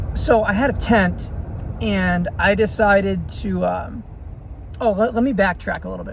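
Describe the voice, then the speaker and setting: An American accent at a moderate pace, over noticeable background noise. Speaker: vlogger telling life stories. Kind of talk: casual storytelling monologue. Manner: halting, many fillers.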